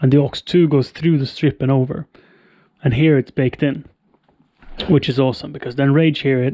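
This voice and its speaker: Quiet and fairly high-pitched, a man speaks with a dark, mellow tone at a fairly quick pace, his intonation fairly even. Long, frequent pauses break up his speech, and the sound is dry and close with no echo. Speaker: streamer setting up audio gear. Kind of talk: live stream tutorial.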